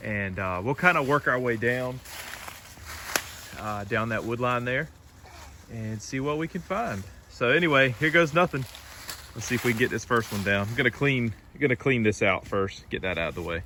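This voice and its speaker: Speaking with an American accent at a moderate pace, a man uses lively intonation and long, frequent pauses, with noticeable background noise behind him. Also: medium pitch for a man. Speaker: homesteading vlogger. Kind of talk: casual vlog narration. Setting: outdoors in woods. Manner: loud.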